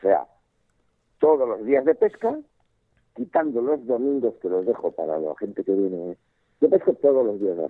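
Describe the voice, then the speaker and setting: Male voice at medium pitch and a moderate pace, with very wide pitch swings, big swings in loudness, and long, frequent pauses. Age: 60s. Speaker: fly fishing expert and instructor. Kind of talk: casual interview. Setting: phone call.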